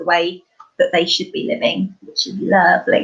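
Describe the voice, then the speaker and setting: The voice belongs to a woman. She has an East Anglian accent. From East Anglia, England. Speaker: life coach. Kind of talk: casual chat.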